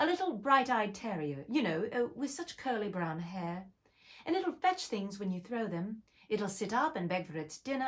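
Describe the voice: Someone does a plain reading aloud.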